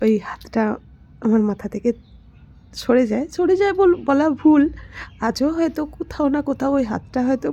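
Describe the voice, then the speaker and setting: A woman's high-pitched voice with a dark, mellow tone and lively intonation. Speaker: lifestyle vlogger. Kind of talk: personal vlog monologue. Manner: halting.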